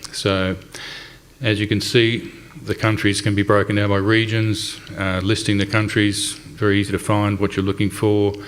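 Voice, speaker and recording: Over noticeable background noise, a man with an Australian accent talks at a moderate pace in a fairly low pitch, his intonation monotone and flat. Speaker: company representative presenting a website. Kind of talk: conference presentation. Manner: hesitant, many fillers.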